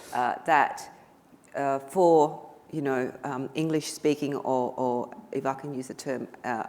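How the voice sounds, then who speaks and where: A woman with a very deep, low voice speaks at a fairly slow pace in a flat monotone. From Vietnam. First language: Vietnamese. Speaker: politician. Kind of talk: panel discussion. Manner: halting.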